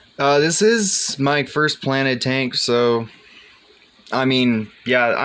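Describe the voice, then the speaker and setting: Over noticeable background noise, a man talks at medium pitch with lively intonation. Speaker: aquarium hobbyist. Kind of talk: casual video tour. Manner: casual, hesitant.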